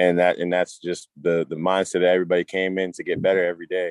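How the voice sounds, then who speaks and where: Very fast and monotone, a man with a very deep, low pitch talks in a flat way with an American accent. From Massachusetts (Cambridge/Malden, Boston area). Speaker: football player, draft prospect. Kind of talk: casual interview chat.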